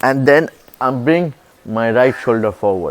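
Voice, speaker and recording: In a dry, close sound with no echo, a man with an Indian accent talks at a fairly slow pace, his medium pitch showing ordinary variation. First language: Hindi. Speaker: boxing coach. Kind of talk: tutorial.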